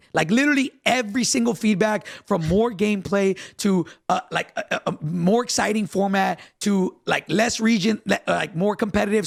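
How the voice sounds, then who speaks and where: Pitched high, a man speaks in an animated tone at very even loudness, with ordinary pitch variation and a dry, close sound with no echo. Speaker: gaming podcast host. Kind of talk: live stream podcast discussion. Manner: fast.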